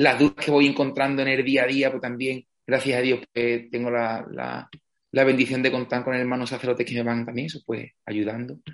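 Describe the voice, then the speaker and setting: The voice moves at a fairly quick pace with monotone, flat intonation. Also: man, medium pitch for a man. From Spain, Andalusia (Villamartín, Cádiz). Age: 20s. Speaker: parish priest. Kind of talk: interview.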